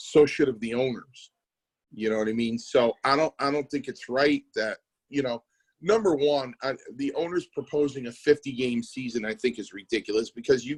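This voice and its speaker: Heard in a dry, close sound with no echo, a man with an ordinary speaking voice talks at a moderate pace, his pitch fairly high and his pitch variation ordinary. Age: 50s. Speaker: podcast co-host, former wrestler. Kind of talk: casual chat.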